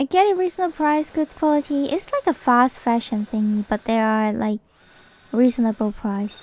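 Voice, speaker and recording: A woman with a non-native accent, a high pitch, lively intonation and a moderate pace, on a very clean recording with a silent background and a dry, close sound with no echo. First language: not English. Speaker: vtuber streamer. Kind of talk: casual chat while gaming. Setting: live stream. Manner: halting, repeats words.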